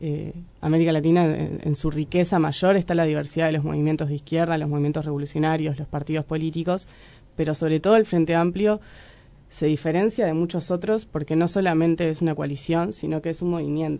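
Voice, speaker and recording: A dark, mellow tone delivered at a fairly quick pace. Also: woman, very deep, low pitch for a woman. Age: 20s. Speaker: young party activist. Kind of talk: radio interview.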